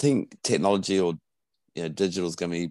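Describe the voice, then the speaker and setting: Very deep and low in pitch, a man's voice comes across with a dry, close sound and no echo. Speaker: podcast host. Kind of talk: interview.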